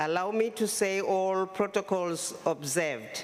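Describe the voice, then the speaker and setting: With noticeable background noise, a woman speaks very slowly with fairly even intonation. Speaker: government minister. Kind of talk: formal conference speech.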